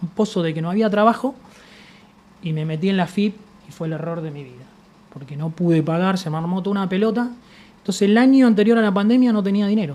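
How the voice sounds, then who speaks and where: A man with a Buenos Aires accent talks very fast at a high pitch, with ordinary pitch variation, big swings in loudness, long and frequent pauses, and noticeable background noise. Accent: Rioplatense Spanish (Buenos Aires). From Argentina, Buenos Aires (La Boca). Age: 50s. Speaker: industrial sculptor. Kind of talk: interview, personal storytelling. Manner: casual, conversational.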